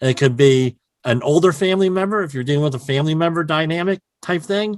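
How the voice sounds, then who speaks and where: A man's fairly high voice with a New Jersey accent, very wide pitch swings and a fairly quick pace. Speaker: health and safety consultant. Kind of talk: podcast interview.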